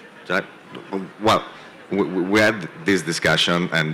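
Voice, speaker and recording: Very deep, low pitch from a man with a non-native accent, over noticeable background noise. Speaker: venture capital investor. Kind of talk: panel discussion. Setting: conference stage with audience.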